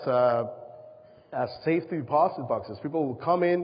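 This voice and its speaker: With a Spanish accent and a fairly high pitch, a man speaks at a moderate pace with ordinary pitch variation over noticeable background noise. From Panama. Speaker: presenter, safety box business. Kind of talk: presentation to an audience. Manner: halting.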